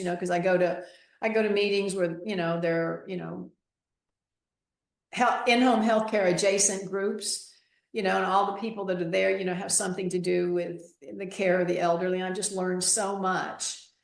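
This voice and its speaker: A woman at a moderate pace, fairly even in intonation, with audible room echo. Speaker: reverse mortgage specialist. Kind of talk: interview. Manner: talkative.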